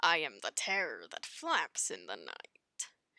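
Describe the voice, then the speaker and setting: A put-on character voice at a fairly slow pace. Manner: heroic, theatrical.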